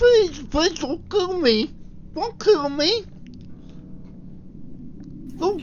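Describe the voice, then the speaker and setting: In a put-on character voice pitched extremely high, the speaker goes at a very slow pace with long, frequent pauses over clear background noise. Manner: pleading, desperate.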